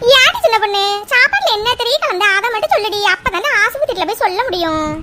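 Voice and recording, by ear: Using a cartoonish character voice, a woman talks at an extremely high pitch with lively intonation and a moderate pace, with light background noise.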